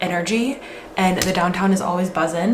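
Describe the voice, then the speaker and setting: Room echo is audible and background noise is noticeable while a woman talks. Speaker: lifestyle vlogger. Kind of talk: casual vlog chat. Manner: chatty, lots of filler words.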